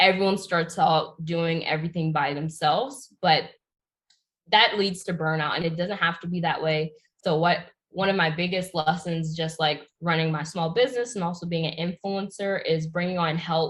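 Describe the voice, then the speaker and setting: A somewhat breathy woman with an American accent and a fairly low pitch. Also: fairly even intonation, moderate pace. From Pennsylvania, US. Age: 20s. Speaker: YouTuber and entrepreneur. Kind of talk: interview.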